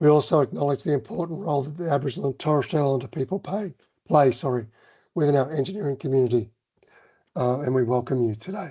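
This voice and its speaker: With a dark, mellow tone and a somewhat breathy quality, a man speaks at a fairly high pitch with ordinary pitch variation. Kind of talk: webinar presentation.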